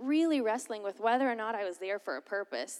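An American accent marks this woman's ordinary speaking voice, fairly high in pitch, with ordinary pitch variation and a fairly quick pace. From Florida, US South (Lakeland). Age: 20s. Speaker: college minister. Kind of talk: chapel talk. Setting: chapel with audience.

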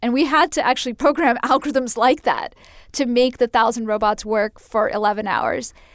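This woman's high voice unfolds at a moderate tempo. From India. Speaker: computer science professor. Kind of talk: interview.

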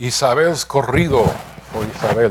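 A man with a New York accent at a moderate pace, ordinary pitch variation, noticeable background noise. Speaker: poet. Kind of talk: poetry reading. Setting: stage with audience.

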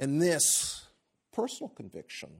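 Lively in intonation, a man with a plain, everyday voice speaks at a moderate pace in an American accent. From US South, South Carolina. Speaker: law professor. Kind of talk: lecture. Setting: auditorium with live audience.

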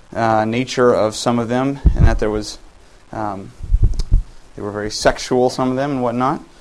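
Medium pitch from a male speaker, with ordinary pitch variation and a moderate pace. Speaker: student summarizing the chapter. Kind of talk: oral summary in class. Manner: halting, with many fillers.

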